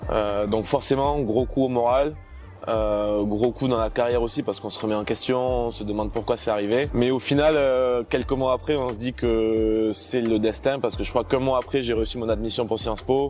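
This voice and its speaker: This is a man's voice, pitched in the medium range. His delivery is moderately paced, with fairly even intonation. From southern France, Toulouse area. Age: 20s. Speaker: student entrepreneur, former kitesurf champion. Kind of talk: interview. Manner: hesitant with frequent filler sounds.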